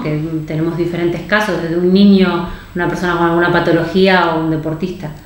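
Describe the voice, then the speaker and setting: A woman's fairly low, flat, monotone voice amid noticeable background noise and audible room echo. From Argentina. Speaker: nutritionist. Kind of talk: interview.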